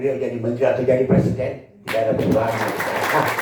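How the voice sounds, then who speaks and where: A medium-pitched man talks at a very fast pace with fairly even intonation, heard with audible room echo and noticeable background noise. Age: 70s. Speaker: provincial governor. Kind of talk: official speech. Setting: meeting room. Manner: unscripted, loose.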